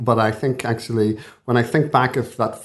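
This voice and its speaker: With a Belfast accent, a man speaks in a monotone, flat intonation at a fairly quick pace against a quiet background. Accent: Belfast (Northern Irish). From Belfast, Northern Ireland. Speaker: consultant intensivist and professor. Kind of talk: interview conversation.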